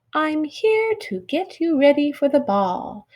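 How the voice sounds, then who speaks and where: A woman uses a squeaky, high-pitched, put-on character voice. She talks at a fairly slow pace with very wide pitch swings. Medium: read story.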